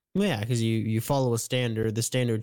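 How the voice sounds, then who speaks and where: In a normal speaking voice at medium pitch, a man goes at a fairly quick pace with fairly even intonation. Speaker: podcast co-host. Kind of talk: casual chat.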